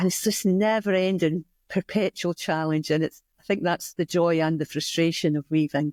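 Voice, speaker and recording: A woman with a Scottish accent, fairly low pitch, fairly even intonation, moderate pace, hardly any pauses and very even loudness, in a very clean recording with a silent background and a dry, close sound with no echo. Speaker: community weaving studio founder. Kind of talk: interview conversation. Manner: hesitant with fillers.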